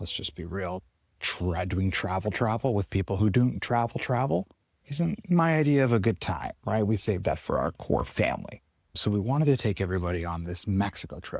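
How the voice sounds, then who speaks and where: Whispering quietly at a fairly quick pace, a man is heard in a very clean recording with a silent background. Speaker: chiropractor podcast host. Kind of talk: casual monologue. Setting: outdoors on a farm.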